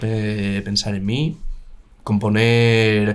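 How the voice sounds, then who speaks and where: A man's fairly low-pitched voice. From Spain, Madrid (born in Valladolid province). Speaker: musician. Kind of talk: casual chat.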